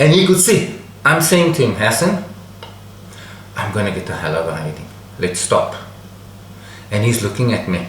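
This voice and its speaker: A medium-pitched man with very wide pitch swings, a moderate pace and long, frequent pauses, amid audible room echo and noticeable background noise. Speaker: storyteller, channel host. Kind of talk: personal anecdote storytelling.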